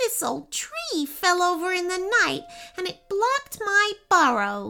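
A put-on character voice pitched extremely high, delivered at a fairly slow pace. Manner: wailing, self-pitying, then overjoyed.

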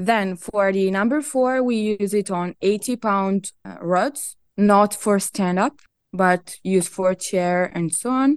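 An Italian accent at a very slow pace with ordinary pitch variation, in a dry, close sound with no echo over a quiet background. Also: woman, medium pitch for a woman. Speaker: product manager, fishing gear company. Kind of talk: interview. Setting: remote call.

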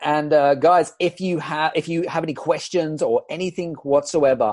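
Against a quiet background, a man with an unremarkable speaking voice talks at a moderate pace and a fairly high pitch. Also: dry, close sound with no echo. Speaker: summit host. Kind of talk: interview. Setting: video call.

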